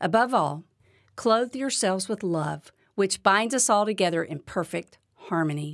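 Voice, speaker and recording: Over a silent background in a very clean recording, a woman with an unremarkable speaking voice talks at a moderate pace in a medium pitch with lively intonation. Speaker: podcast host and devotional speaker. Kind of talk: devotional talk. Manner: warm, encouraging.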